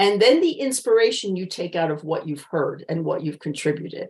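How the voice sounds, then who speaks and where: Medium-pitched, somewhat breathy woman's voice with an American accent, lively intonation, and a fairly quick pace. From United States. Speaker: communication coach. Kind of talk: interview.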